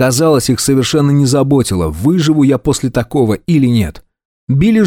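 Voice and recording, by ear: Natural-voiced reading aloud, ordinary rises and falls in pitch, little behind it but quiet.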